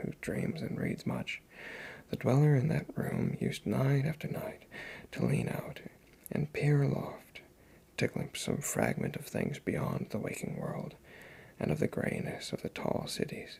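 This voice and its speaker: Someone is whispering at a fairly slow pace. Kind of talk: ASMR story reading. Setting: home recording on USB mic. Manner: soft-spoken.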